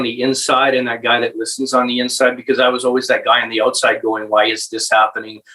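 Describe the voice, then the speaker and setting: Talking very fast with an Albertan accent, a man has a bright, sharp tone at a medium pitch. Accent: Canadian (Alberta). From central Alberta, Canada. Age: 40s. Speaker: municipal election candidate. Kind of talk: interview. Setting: podcast recording. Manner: halting.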